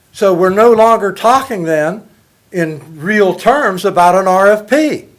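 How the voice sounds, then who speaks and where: A high-pitched man speaks at a fairly slow pace with ordinary pitch variation on a very clean recording with a silent background. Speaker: public commenter at city council. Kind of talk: public comment. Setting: council meeting. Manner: loud.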